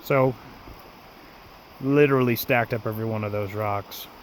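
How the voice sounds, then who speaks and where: Fairly even intonation from a man with a fairly low pitch, at a moderate pace. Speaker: camping vlogger. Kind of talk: casual vlog narration. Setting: outdoors. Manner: soft-spoken.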